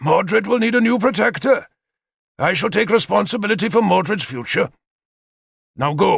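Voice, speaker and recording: Growling and raspy, a man in a put-on character voice uses a high pitch and lively intonation at a moderate pace, with long, frequent pauses. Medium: read story. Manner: growling, harsh.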